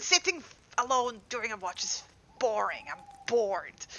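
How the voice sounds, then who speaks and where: A woman speaks in a put-on character voice. Her pitch is high. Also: moderate pace. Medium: actual play. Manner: casual, joking, teasing.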